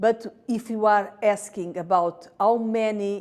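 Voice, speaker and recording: A woman speaks in a Portuguese accent. Her intonation stays fairly even. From Portugal. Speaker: patient advocate, stroke survivor. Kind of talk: interview statement. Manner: halting, many fillers.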